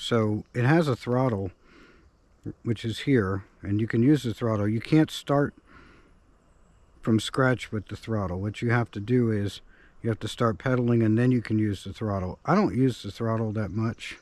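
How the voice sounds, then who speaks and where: In a very clean recording with a silent background, a man speaks at a moderate pace with a medium pitch and ordinary pitch variation. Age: 60s. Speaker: outdoor video maker. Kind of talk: tutorial. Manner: halting.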